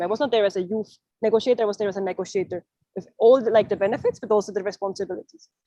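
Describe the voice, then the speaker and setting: In a dry, close sound with no echo, a woman with a non-native accent speaks at a very fast pace and medium pitch, her tone dark and mellow. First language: not English. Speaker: youth climate negotiator. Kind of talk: panel discussion. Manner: halting, many fillers.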